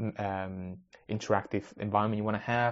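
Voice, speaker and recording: Speaking with a Spanish accent, a man with a fairly low pitch keeps a fairly quick pace. His intonation is fairly even. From Spanish-speaking country, moved to UK at ten. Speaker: podcast host, maker/tech hobbyist. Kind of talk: casual solo podcast monologue.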